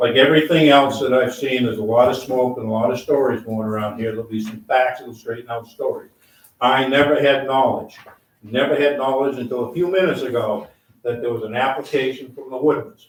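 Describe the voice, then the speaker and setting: A man talks at medium pitch and a fairly quick pace. His intonation is fairly even, while his loudness swings widely. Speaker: select board member. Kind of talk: heated public meeting debate. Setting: town meeting with microphones, wearing mask.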